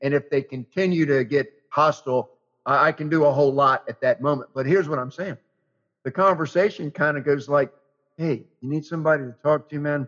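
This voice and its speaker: At a fairly quick pace, a man speaks in an unremarkable speaking voice, fairly high in pitch, with fairly even intonation. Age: 60s. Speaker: radio host. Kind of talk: interview conversation.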